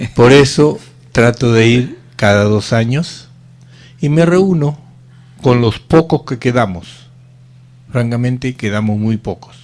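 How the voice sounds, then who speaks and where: The man talks at a very slow pace, leaving long, frequent pauses. His pitch is medium, with ordinary variation. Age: 70s. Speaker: radio host and former footballer. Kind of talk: casual radio talk, reminiscing.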